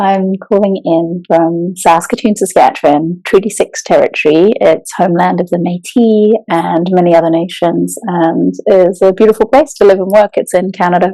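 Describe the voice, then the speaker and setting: Here a woman talks at a moderate pace with hardly any pauses. Her pitch is medium, with ordinary variation. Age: 40s. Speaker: children's and young adult author, writing coach. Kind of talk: casual podcast interview. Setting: remote call.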